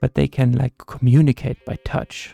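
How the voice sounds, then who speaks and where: A soft-spoken man talks at a moderate pace in a relaxed tone, his medium-pitched voice dark and mellow with fairly even intonation. The sound is dry and close, with no echo. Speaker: gaming content creator. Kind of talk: casual talk to camera, gaming commentary. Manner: soft-spoken, relaxed.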